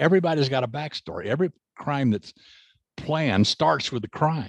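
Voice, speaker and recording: A man's medium-pitched voice with an American accent and vocal fry, at a fairly quick pace, in a dry, close sound with no echo. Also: quiet background. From US South. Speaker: crime novelist and forensics consultant. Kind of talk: interview.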